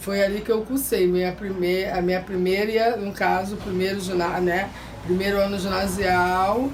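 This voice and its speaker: Speaking at a moderate pace, a woman uses a medium pitch and fairly even intonation. Audible room echo and noticeable background noise fill the recording. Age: 60s. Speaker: favela resident. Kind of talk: interview.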